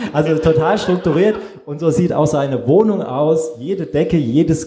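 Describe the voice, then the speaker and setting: A man talks at a fairly slow pace with a fairly high pitch and lively intonation. The room echo is audible. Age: 40s. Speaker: photographer. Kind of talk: panel discussion.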